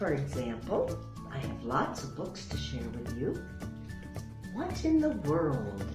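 A woman speaks at a very slow pace with clear music in the background. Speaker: grandmotherly children's story reader. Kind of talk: children's story reading, welcoming introduction to camera. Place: home room. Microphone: webcam.

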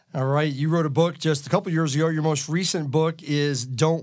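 Captured in a very clean recording with a silent background, a man with a fairly high pitch and fairly even intonation talks in an unremarkable speaking voice. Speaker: financial planner. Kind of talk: podcast interview.

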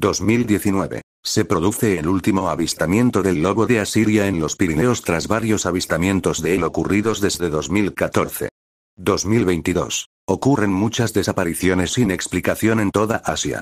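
Very deep and low, a man's voice moves at a fairly slow pace with ordinary pitch variation and very even loudness. The recording is very clean, with a silent background. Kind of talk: ghost story telling, scripted creepypasta narration. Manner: grave, ominous, even-paced delivery of a dated timeline of disappearances.

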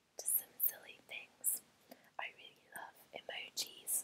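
A soft-spoken woman whispers at a fairly slow pace over light background noise. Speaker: ASMR creator. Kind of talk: soft ASMR haul chat. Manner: soft whispered ASMR ramble. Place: home room. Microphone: earbuds.

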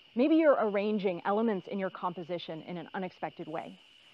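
A woman's voice, dry with no echo. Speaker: instructor. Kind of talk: tutorial. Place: forest. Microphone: lapel.

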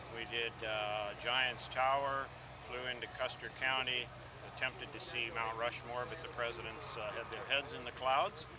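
A man with an American accent at a medium pitch and moderate pace, flat and monotone, over noticeable background noise. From California. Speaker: aircraft builder. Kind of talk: testimonial. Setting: outdoors. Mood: cheerful, lightly humorous. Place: open country. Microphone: phone near.

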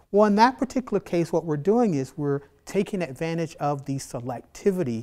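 A man's voice rises and falls in very wide pitch swings. The background is quiet. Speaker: biology instructor. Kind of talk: tutorial. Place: classroom. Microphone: lapel.

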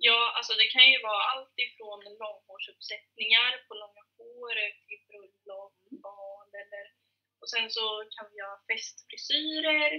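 A woman speaks with a fairly high pitch and ordinary pitch variation. Her voice has a slightly husky edge.

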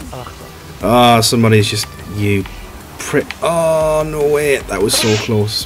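A man's lively intonation at a fairly slow pace, with long, frequent pauses and music in the background. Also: medium pitch for a man. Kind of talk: casual gaming commentary.

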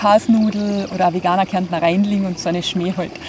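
Over light background noise, a woman with a Carinthian accent talks at a medium pitch with fairly even intonation, the sound dry with no echo. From Austria, Carinthia. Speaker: health blogger. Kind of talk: self-introduction to camera. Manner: casual, colloquial. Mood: cheerful, smiling. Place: garden.

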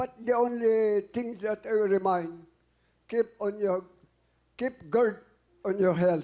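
Ordinary pitch variation in a high male voice. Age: old. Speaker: retired teacher, contestant's father. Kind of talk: tv show appearance.

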